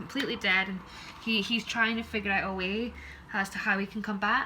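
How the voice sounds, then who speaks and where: A woman with a Scottish accent speaks very fast at a medium pitch in a flat, monotone way, with noticeable background noise. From Scotland. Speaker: tarot reader. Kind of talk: tarot reading.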